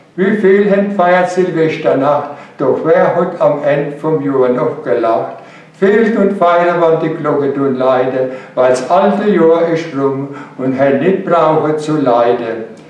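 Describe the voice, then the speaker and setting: A man speaks at a fairly high pitch, with ordinary pitch variation. His pace is very slow, and the room echo is audible. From Palatinate, Germany. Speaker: dialect poet. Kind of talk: poetry reading. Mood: cheerful, humorous. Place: studio.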